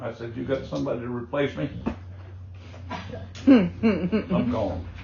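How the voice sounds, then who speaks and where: A man of medium pitch speaks at a fairly slow pace with vocal fry. His pitch swings very widely and his loudness swings a lot. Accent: American. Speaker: Vietnam war veteran. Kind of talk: interview answer.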